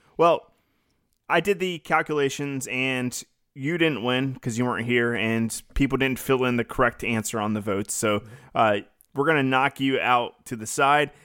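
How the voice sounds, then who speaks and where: At a moderate pace, a man speaks in an unremarkable speaking voice of medium pitch, with ordinary pitch variation. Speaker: podcast co-host.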